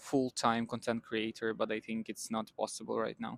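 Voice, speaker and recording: A man with a non-native accent, in a dry, close sound with no echo. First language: not English. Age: 20s. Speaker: vlogger. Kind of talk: casual talk to camera.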